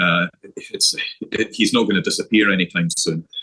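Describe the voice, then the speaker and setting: Someone with a Scottish accent is recorded with a dry, close sound and no echo. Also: man. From Scotland. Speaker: golf coach. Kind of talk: interview.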